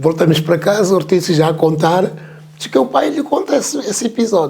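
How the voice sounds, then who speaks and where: A man at a moderate pace with lively intonation. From Mozambique, Chibuto. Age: 70s. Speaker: veteran musician. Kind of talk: interview. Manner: halting, repetitive.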